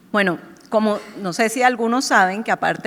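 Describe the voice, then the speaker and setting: A woman speaks at a moderate pace with a Colombian accent. Her pitch rises and falls in an ordinary way. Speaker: marketing executive. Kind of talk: panel discussion. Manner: animated.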